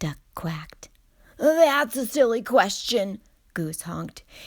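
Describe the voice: What you hear is plain reading aloud.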